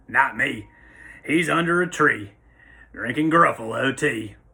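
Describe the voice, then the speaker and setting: A man speaks in a put-on character voice, raspy and fairly high-pitched. His pace is fairly slow. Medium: read story. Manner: amused, teasing.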